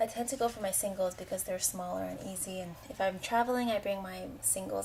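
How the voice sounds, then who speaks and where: A soft-spoken woman talks at a fairly quick pace. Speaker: beauty vlogger. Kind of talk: product review vlog.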